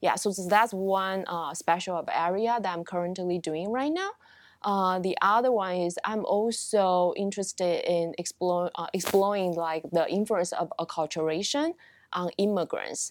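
A woman with a Taiwanese accent speaks at a moderate pace, with medium pitch and ordinary pitch variation. The recording is very clean, with a silent background. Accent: Taiwanese Mandarin-accented English. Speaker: marriage and family therapy professor. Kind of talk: interview. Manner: halting, many fillers.

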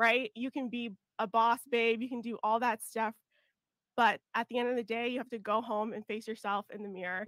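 With a fairly high pitch and a monotone, flat intonation, a woman talks at a fairly quick pace in a dry, close sound with no echo. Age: 30s. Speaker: relationship content creator. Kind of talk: casual chat. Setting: studio.

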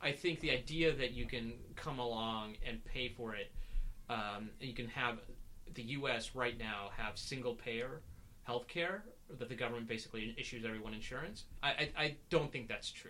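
A man with an American accent speaks at a moderate pace and a medium pitch. His tone is bright and sharp, with ordinary pitch variation. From US South. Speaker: podcast co-host. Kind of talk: casual political discussion. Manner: halting, many fillers.

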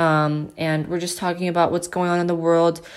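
The voice moves at a moderate pace with little pitch movement. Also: woman, fairly low pitch for a woman.

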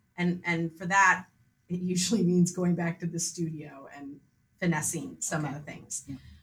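A woman with an American accent speaks in a plain, everyday voice at a moderate pace and fairly low pitch. Her intonation stays fairly even while her loudness swings widely. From US Midwest, Grosse Pointe, Michigan. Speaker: painter. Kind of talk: casual interview.

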